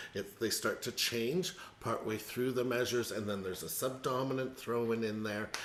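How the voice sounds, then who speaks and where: A man is speaking quietly. His pitch varies in an ordinary way. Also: medium pitch for a man, moderate pace. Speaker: music teacher. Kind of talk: casual chat.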